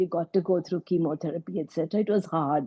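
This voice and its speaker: A woman speaks with a Kannada accent. Her voice is fairly low in pitch, with ordinary variation. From India, Mumbai. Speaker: breast surgeon. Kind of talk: interview testimony.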